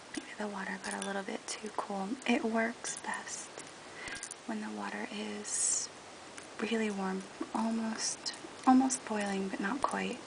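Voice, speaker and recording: Soft-spoken and at a fairly slow pace, the speech has long, frequent pauses over noticeable background noise. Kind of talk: tutorial talk to camera.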